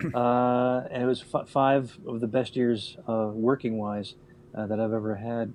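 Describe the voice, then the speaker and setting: This is a plain, everyday voice speaking at a fairly slow pace with fairly even intonation. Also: man, medium pitch for a man. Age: 60s. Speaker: radio veteran. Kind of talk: casual chat.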